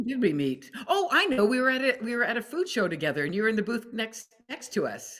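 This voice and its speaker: This woman talks very fast with a Canadian accent, her fairly high pitch swinging very widely. Vocal fry runs through her voice. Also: hardly any pauses. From Alberta, Canada. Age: 60s. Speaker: food company founder. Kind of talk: podcast interview.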